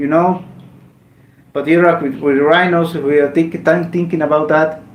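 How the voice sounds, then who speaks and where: High-pitched male speech against noticeable background noise and audible room echo. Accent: Mexican. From Mexico. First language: Spanish. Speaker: gaming streamer. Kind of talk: casual live stream chat. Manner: halting, with repetitions.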